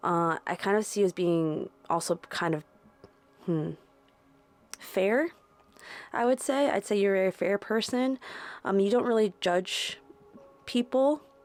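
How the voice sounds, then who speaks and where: Over background music, a woman at medium pitch talks with lively intonation and long, frequent pauses, the sound dry and close with no echo. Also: very even loudness. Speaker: tarot reader. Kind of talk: tarot reading. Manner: casual, filler-heavy.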